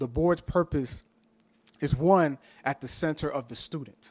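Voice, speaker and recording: A man's fairly high voice at a fairly slow pace, with ordinary pitch variation, on a very clean recording with a silent background. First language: Spanish. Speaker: professor, board candidate. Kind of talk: candidate interview at public meeting. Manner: passionate.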